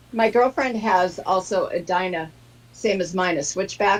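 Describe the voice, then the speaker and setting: This woman has a normal speaking voice. Her medium pitch rises and falls in an ordinary way. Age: 60s. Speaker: motorcyclist. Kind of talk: casual chat.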